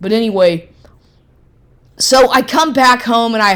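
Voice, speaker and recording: A woman speaks in an animated tone with ordinary pitch variation. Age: 50s. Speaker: personal vlogger. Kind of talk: personal monologue rant.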